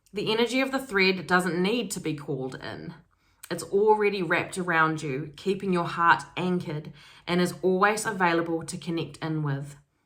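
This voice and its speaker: A woman talks in a fairly low pitch at a moderate pace. Audible room echo surrounds her voice. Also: ordinary pitch variation. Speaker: spiritual self-development YouTuber. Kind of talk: casual energy reading monologue.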